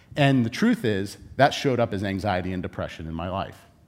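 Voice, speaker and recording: Very fast and animated, a man talks in a Californian accent. His pitch makes very wide swings. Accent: Californian American. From Southern California. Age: 40s. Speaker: conference speaker. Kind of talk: conference talk.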